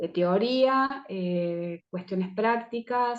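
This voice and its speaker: A woman talks very slowly, her pitch sitting in the middle range and moving in an ordinary way. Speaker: herbal medicine teacher. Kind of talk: online presentation talk. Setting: video call.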